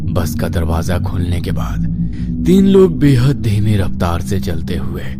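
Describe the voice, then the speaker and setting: Using a put-on character voice, a man speaks with a very deep, low pitch at a fairly slow pace. Loud music plays in the background. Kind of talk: horror narration. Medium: read story.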